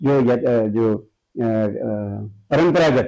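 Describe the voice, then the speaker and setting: A man is speaking. His tone is dark and mellow. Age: 70s. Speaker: painter and art teacher. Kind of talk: interview. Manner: halting, many fillers.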